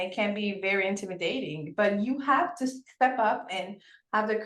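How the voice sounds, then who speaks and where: A woman speaks with a French accent at medium pitch. Her pace is moderate and her pitch variation ordinary. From Senegal. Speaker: podcast host. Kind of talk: interview. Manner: animated.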